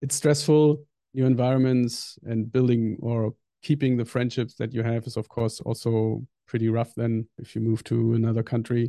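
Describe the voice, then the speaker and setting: With a German accent, a man talks at a moderate pace in a dark, mellow tone at medium pitch, recorded with a dry, close sound with no echo and a quiet background. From northern Germany. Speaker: software engineer. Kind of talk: interview.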